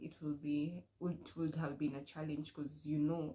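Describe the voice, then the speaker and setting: A woman with a Kenyan accent speaks in a dark, mellow tone. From Kenya, Murang'a County. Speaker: vlogger. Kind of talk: casual chat. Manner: casual, code-switching with Swahili.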